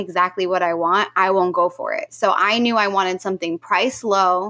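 With an American accent, a woman speaks at a moderate pace in a medium pitch, her tone bright and sharp and her pitch variation ordinary. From Central New Jersey. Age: young. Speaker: entrepreneur. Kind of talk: interview. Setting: studio.

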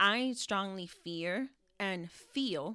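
A woman speaks with a New York accent and a bright, sharp tone. Her intonation is lively, on a very clean recording with a silent background. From New York City. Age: 30s. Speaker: podcast host, single mother. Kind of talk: casual chat.

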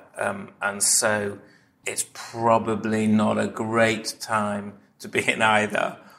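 A man speaks with a fairly low pitch and a bright, sharp tone. His intonation stays flat and monotone. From Manchester, northern England. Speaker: comedy writer. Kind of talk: casual chat.

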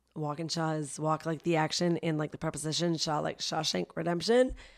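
Cackling at a fairly quick pace, the speaker has a slight Canadian accent, and the recording is very clean with a silent background. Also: woman. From Canada (Vancouver). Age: 30s. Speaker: comedian. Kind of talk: casual chat. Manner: laughs often, cackling laugh.

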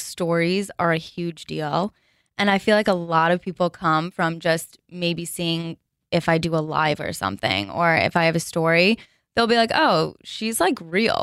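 A woman's fairly low voice with a New Jersey accent at a fairly slow pace, dry and close with no echo. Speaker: fashion blogger and sales account executive. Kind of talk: casual chat. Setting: studio.

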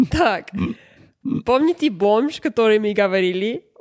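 A woman with a non-native accent talks at a very slow pace in a fairly high pitch. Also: dry, close sound with no echo, very clean recording, silent background. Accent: non-native Russian. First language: not Russian (learned Russian at university) (speaking Russian). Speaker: podcast co-host. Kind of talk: casual chat.

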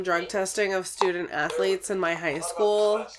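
Fairly even intonation against noticeable background noise. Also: woman. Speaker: podcast co-host. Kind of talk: casual chat.

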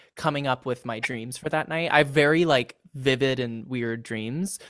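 With a Californian accent, a man talks at a moderate pace and a medium pitch. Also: very clean recording, silent background. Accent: General American (California). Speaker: TikTok comedy creator and actor. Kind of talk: casual chat.

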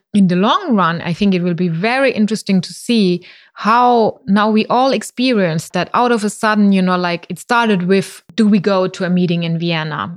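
A woman in a German accent, at a moderate pace with hardly any pauses. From southern Germany, near Mannheim. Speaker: cultural institute director. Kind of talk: interview conversation.

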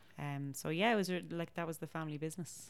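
A woman's very deep, low voice with a Dublin accent, at a fairly quick pace, on a very clean recording with a silent background. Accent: Dublin Irish. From Ireland, Dublin. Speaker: folk musician. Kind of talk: casual chat. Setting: home kitchen.

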